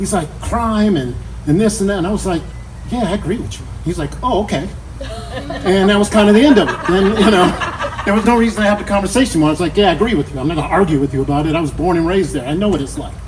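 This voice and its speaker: Loud and very fast, a man with an American accent talks at a high pitch amid noticeable background noise and audible room echo. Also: ordinary pitch variation. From Chicago, South Side. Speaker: memorial speaker, friend and former coworker. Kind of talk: eulogy. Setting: memorial service with audience.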